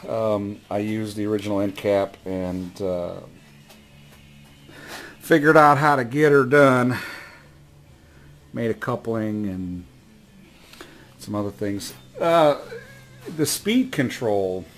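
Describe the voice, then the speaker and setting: Over faint music in the background, a man with a fairly low pitch speaks at a very slow pace with long, frequent pauses and ordinary pitch variation. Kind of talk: casual workshop show-and-tell. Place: workshop. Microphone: phone near.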